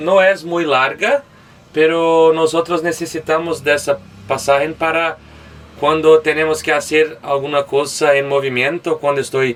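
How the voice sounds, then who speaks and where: Someone with a Portuguese accent speaks at a fairly slow pace. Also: man. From Brazil, Belo Horizonte. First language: Portuguese (speaking Spanish). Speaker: van traveler. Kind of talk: van tour. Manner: halting.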